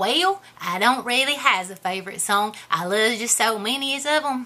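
A woman puts on a character voice, fairly high-pitched and lively in intonation, at a moderate pace. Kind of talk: character comedy Q&A to camera.

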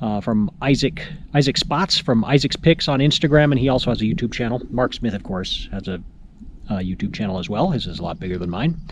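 The voice has lively intonation and a dry sound with no echo, set against noticeable background noise. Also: man. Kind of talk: casual vlog chat. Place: forest. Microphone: phone near.

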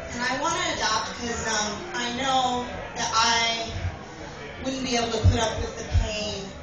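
A woman speaks at a fairly slow pace amid audible room echo and clear music in the background. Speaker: stand-up comedian. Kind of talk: stand-up comedy routine. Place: bar. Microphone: camera far.

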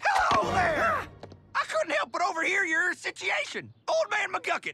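In a put-on character voice, a man speaks at an extremely high pitch with big pitch swings and a bright, sharp tone. His pace is moderate, with vocal fry.

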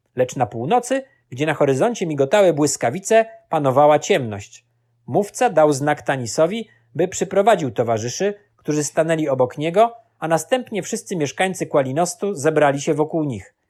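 Heard on a very clean recording with a silent background, a man speaks at a moderate pace with a fairly high pitch and very wide pitch swings. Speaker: audiobook narrator. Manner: measured, solemn, storytelling pace.

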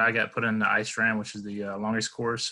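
Against a quiet background, a man with a medium pitch and a bright, sharp tone talks at a very fast pace. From Alabama, US South. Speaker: Marine Corps veteran. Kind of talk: casual interview chat. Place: home room. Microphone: video call.

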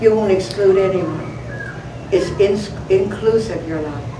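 Noticeable background noise is present. Over it, a woman talks at a moderate speed. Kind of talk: inspirational talk. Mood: warm, fervent, prayerful. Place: hall. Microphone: camera far.

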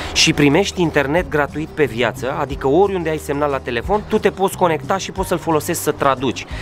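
Very fast delivery with hardly any pauses over light background noise. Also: man, ordinary pitch variation. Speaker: vlogger presenting a product. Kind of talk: sponsored product presentation. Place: street. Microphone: phone near.

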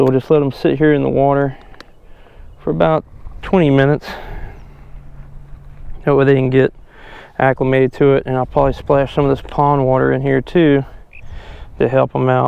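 At a fairly quick pace, a man speaks in a dry recording with no echo. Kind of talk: casual vlog chat. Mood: pleased, relaxed. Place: waterside. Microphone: phone near.

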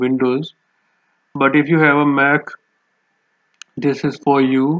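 The pitch shows little movement. The sound is dry and close with no echo. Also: man.

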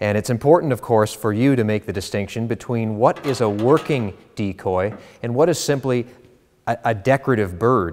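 A man uses an ordinary speaking voice at a medium pitch and moderate pace. His pitch variation is ordinary, with light background noise behind him. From Canada. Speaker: auctioneer. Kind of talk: auction house promotional presentation to camera. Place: studio. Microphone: lapel.

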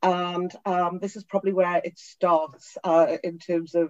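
A woman with a Geordie accent and a fairly low pitch is heard in a dry, close sound with no echo. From northern England, Newcastle upon Tyne. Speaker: tech company CEO. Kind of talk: interview.

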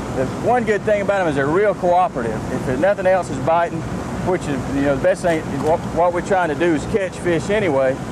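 The voice comes at a very fast pace, with a dry sound lacking echo and noticeable background noise. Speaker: fishing guide explaining rig. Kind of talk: interview answer. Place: boat. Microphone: lapel.

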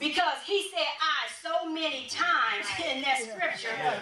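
A woman speaks in a raised, projected voice at an extremely high pitch. Her intonation is lively over noticeable background noise. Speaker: church elder, preacher / teacher. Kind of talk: sermon-style teaching. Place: church.

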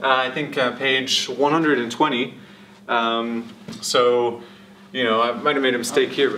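Light background noise behind a man speaking at a moderate pace. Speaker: lecturer. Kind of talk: lecture. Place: classroom. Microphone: camera far.

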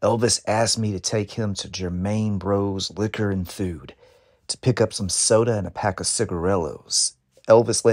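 The intonation is fairly even. This is reading aloud in a natural voice.

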